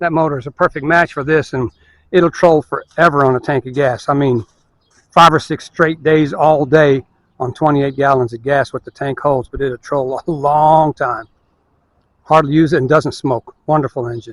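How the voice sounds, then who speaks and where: This man has a normal speaking voice, fairly high in pitch, at a moderate pace with fairly even intonation. The sound is dry and close, with no echo. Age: 60s. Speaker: fishing video maker. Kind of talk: casual tutorial. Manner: relaxed, rambling pace with fillers.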